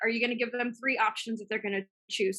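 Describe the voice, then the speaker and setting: Fairly high in pitch, a woman speaks in a bright, sharp tone with fairly even intonation. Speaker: business coach and systems assistant. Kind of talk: webinar training with Q&A. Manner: fast.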